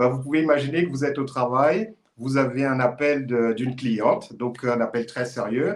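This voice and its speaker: Using an ordinary speaking voice, a man of medium pitch talks at a moderate pace with ordinary pitch variation. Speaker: e-commerce consultant. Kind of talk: live stream conversation.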